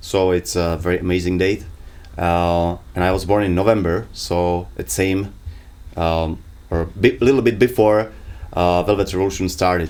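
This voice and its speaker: Very deep and low in pitch, a man speaks with a Czech accent. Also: ordinary pitch variation, moderate pace. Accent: Czech accent, self-described as terrible. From Prague, Czech Republic. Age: 30s. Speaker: podcast co-host. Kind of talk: casual chat. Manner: halting, many fillers.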